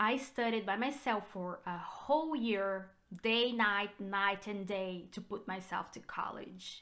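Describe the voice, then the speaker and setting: A woman at medium pitch with a Brazilian Portuguese accent, a bright, sharp tone, ordinary pitch variation and a fairly slow pace. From Brazil, São Paulo state. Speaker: realtor. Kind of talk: personal vlog. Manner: hesitant with fillers.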